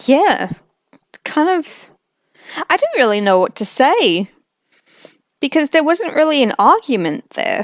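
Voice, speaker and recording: A woman with a high pitch speaks fairly slowly, her pitch swinging very widely. She leaves long, frequent pauses, and the sound is dry and close with no echo. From Australia. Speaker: streamer reacting to videos. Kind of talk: live stream reaction commentary.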